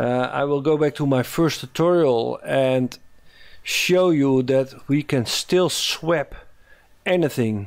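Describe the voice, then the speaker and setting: In a very clean recording with a silent background, a man with a Dutch accent speaks very slowly at a fairly high pitch with ordinary pitch variation. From Netherlands. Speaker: animation tutorial maker. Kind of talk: tutorial. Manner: halting, many fillers.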